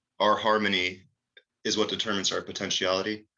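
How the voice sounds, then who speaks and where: A man speaking at a moderate pace, quiet background. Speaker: author presenting his physics books. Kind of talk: video presentation walkthrough. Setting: screen-share video recording. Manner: unscripted, with many fillers.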